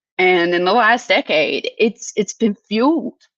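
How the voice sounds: A woman's fairly bright voice at medium pitch, with lively intonation, a fairly slow pace, and a dry, close sound with no echo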